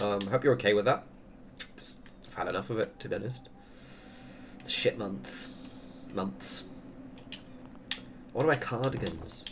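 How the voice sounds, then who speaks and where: With lively intonation, big swings in loudness and long, frequent pauses, a man speaks at a medium pitch. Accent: English. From England. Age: 30s. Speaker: gaming streamer. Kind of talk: casual chat. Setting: livestream at home. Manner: fast.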